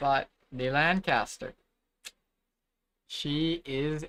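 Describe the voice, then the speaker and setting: Speech comes at a very slow pace. There is a silent background in this very clean recording. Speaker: streamer. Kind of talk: casual live stream chat.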